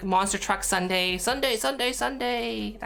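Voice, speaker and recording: Using a put-on character voice, a woman speaks at a medium pitch. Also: moderate pace. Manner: bombastic, hyped.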